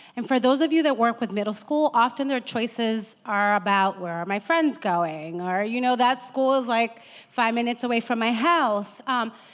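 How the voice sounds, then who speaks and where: Fairly high in pitch, a woman speaks with an American accent at a moderate pace. Her pitch varies in an ordinary way, and she hardly pauses. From Boston, Massachusetts. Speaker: school counselor. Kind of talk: panel discussion.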